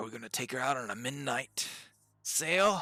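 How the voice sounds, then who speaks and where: At a medium pitch, a man performs a put-on character voice that is raspy. His pace stays moderate. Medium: actual play. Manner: stammering, hesitant.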